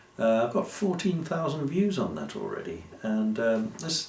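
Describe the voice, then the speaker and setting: Amid audible room echo, a man speaks at a fairly slow pace with very wide pitch swings. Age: old. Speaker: YouTuber. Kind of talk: casual monologue to camera. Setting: alone in a room with lights. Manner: halting, many fillers.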